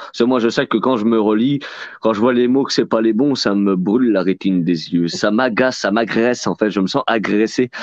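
A man with a plain, everyday voice talks at a moderate pace, his medium pitch showing ordinary pitch variation. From France. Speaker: book fair organizer and host. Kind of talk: casual live chat. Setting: video call.

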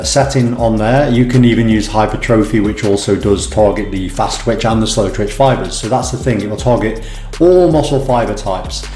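With some room echo and light background noise behind him, a man talks at a fairly quick pace. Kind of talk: tutorial. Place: home room.

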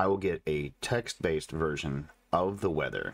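Very deep and low with vocal fry, a man speaks at a fairly slow pace with ordinary pitch variation. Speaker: tech reviewer. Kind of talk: video tech review/demo. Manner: casual, explanatory.

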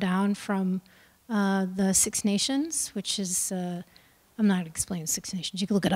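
A woman with an American accent, moderate pace and ordinary pitch variation. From US Midwest. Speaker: choreographer; guest. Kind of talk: panel talk. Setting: stage with audience. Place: hall. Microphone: handheld.

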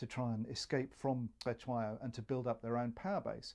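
A man's voice, dark and mellow in tone, is heard with a quiet background behind it. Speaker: historian; interviewee. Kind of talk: interview commentary, expert analysis. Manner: measured, explanatory, occasionally hesitant. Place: home room.

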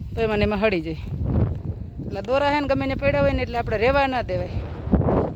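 A woman talks over noticeable background noise. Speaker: farmer vlogger. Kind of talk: casual vlog narration.

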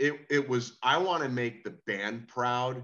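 A man speaks in a bright, sharp tone with ordinary pitch variation. The background is quiet. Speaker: rock singer; guest. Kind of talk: casual chat. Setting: video call. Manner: animated. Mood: earnest, emotional. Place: home room. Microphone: video call.

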